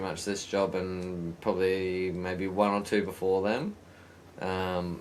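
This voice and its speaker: A man with an Australian accent speaks in a very deep, low pitch at a fairly slow pace. His intonation is monotone and flat, with audible room echo. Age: 30s. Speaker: podcast host. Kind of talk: casual chat.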